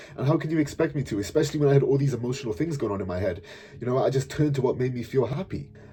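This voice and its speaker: Over noticeable background noise, a man with a medium pitch and ordinary pitch variation speaks at a very fast pace. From Wales, South Wales. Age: 20s. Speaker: fitness coach and YouTuber. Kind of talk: personal storytelling monologue. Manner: casual, animated.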